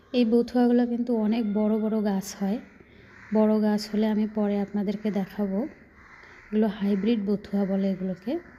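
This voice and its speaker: Somewhat breathy and fairly high-pitched, a woman speaks with a dark, mellow tone and monotone, flat intonation. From Rangpur, northern Bangladesh. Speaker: gardening vlogger. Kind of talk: casual vlog narration.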